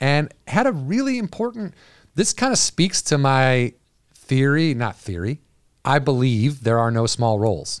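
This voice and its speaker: The recording is very clean with a silent background and a dry, close sound with no echo, as a man at a medium pitch speaks at a moderate pace. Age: 40s. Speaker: podcast host. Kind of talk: casual chat. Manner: animated.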